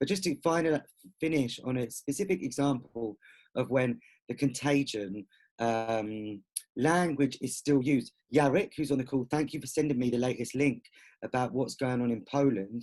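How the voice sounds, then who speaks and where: A man's unremarkable speaking voice, medium in pitch, with ordinary pitch variation. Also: moderate pace. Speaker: author and queer activist. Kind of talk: online discussion talk; reading prepared notes.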